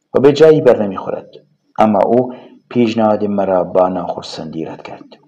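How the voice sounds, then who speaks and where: With a Kurdish accent, a man speaks fairly quickly in a fairly low, dark, mellow voice with lively intonation. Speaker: audiobook narrator. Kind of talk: audiobook reading of a novel.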